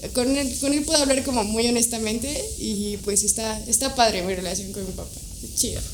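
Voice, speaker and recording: A woman speaks at a fairly high pitch with ordinary pitch variation, with audible room echo and noticeable background noise. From Mexico, Toluca. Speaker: wedding and portrait photographer. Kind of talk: casual interview chat.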